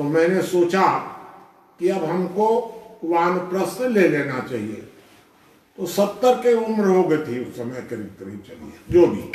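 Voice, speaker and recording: A man talks with a high pitch, very wide pitch swings and big swings in loudness. Audible room echo and noticeable background noise fill the recording. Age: 80s+. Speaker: social thinker and activist. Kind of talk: life-story talk to an audience.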